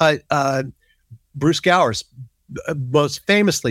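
With an American accent, a man with an unremarkable speaking voice talks fairly slowly with lively intonation in a dry, close sound with no echo. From US South, Biloxi, Mississippi. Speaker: magazine publisher. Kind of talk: interview.

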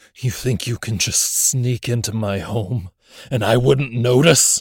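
This man uses a put-on character voice that growls at a medium pitch. He talks at a fairly slow pace. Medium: audio drama.

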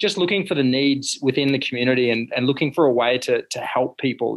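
An Australian accent from a medium-pitched man at a fairly quick pace, with ordinary pitch variation. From Australia, rural central Queensland. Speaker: fashion brand founder and CEO. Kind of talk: interview.

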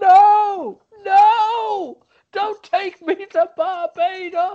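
In a put-on character voice, the speaker talks at a very slow pace with an extremely high pitch. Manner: wailing, protesting.

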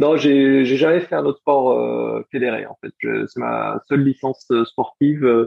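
The speech moves at a very slow pace with hardly any pauses and big swings in loudness. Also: man. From France, Strasbourg (Alsace). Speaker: former Olympic sprint kayaker. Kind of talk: interview.

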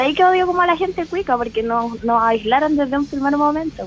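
Someone with a Chilean accent speaks at a fairly quick pace with very wide pitch swings over noticeable background noise. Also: woman. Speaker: guest on youth radio comedy show. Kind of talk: casual chat.

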